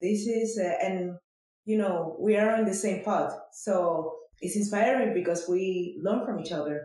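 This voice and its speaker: The speaker talks at a fairly slow pace. The voice carries a non-native accent. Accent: foreign. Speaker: podcast host. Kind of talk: interview.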